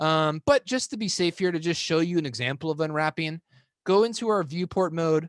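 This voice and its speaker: A man speaking at a fairly quick pace, with a dry, close sound, no echo and a quiet background. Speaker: 3D software workshop instructor. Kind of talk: tutorial. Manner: fast; casual, filler-heavy.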